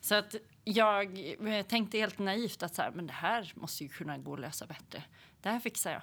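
This is an ordinary speaking voice with ordinary pitch variation and a moderate pace, captured on a very clean recording with a silent background. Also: woman, medium pitch for a woman. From Sweden, Hälsingland. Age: 40s. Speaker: entrepreneur. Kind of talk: interview.

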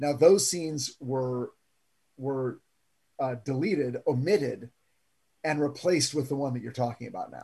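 A man speaks at a moderate pace in a dark, mellow, somewhat breathy tone, with ordinary pitch variation, long, frequent pauses, and big swings in loudness. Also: fairly high pitch for a man. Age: 50s. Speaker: TV writer. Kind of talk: casual chat.

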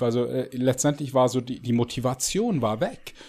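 A man speaks very slowly at a medium pitch. The recording is very clean, with a silent background. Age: 40s. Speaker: fitness coach and bodybuilder. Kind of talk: podcast interview. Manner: halting, many fillers and repetitions.

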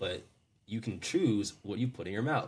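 A man talks in a somewhat breathy voice with an American accent. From US Mid-Atlantic, Maryland. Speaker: sales coach. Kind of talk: casual interview chat.

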